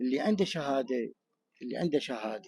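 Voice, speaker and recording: A man with an Iraqi accent, medium in pitch, at a moderate pace, in a dry, close sound with no echo on a very clean recording with a silent background. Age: 60s. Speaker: returning expatriate interviewed in the street. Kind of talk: street interview.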